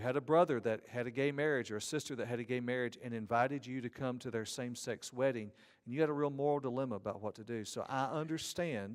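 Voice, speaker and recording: Speaking with a Southern US accent, a man talks at a very fast pace with hardly any pauses. His medium-pitched voice keeps fairly even intonation. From Georgia, US South. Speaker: seminary professor of ethics. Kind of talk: conference lecture.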